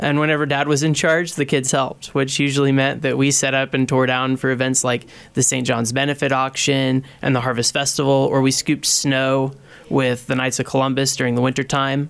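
Speaking with an American accent, a man delivers his words at a fairly quick pace in a monotone, flat intonation. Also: medium pitch for a man, very even loudness. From US Midwest, Kansas. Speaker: former seminarian, store manager. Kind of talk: interview testimony.

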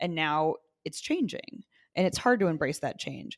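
A woman speaks in a Midwestern American accent. The recording is very clean, with a silent background. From Indiana (Zionsville, near Indianapolis). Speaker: city councilor. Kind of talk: interview.

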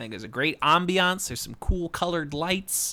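On a very clean recording with a silent background, a man speaks very fast in a fairly high pitch with an animated, bright, sharp tone. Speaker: podcast host. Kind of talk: casual chat. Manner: animated, joking.

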